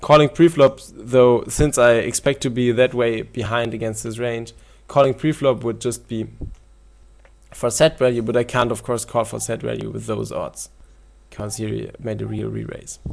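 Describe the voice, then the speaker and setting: A man at a moderate pace with a non-native accent and big swings in loudness. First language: German. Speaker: poker video coach. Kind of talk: tutorial. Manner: halting.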